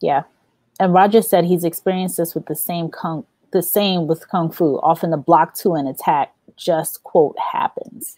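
Upbeat yet dark and mellow in tone, the voice moves at a moderate pace with ordinary pitch variation, in a dry sound with no echo and a quiet background. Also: woman, fairly low pitch for a woman. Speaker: recruiter and podcast host. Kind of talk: live-stream interview. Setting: live stream. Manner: upbeat, laughs often. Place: home room.

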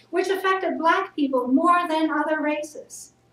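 In a room with audible echo and light background noise, a woman speaks at an extremely high pitch and a fairly slow pace. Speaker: speaker. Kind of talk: sermon. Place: church. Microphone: camera far.

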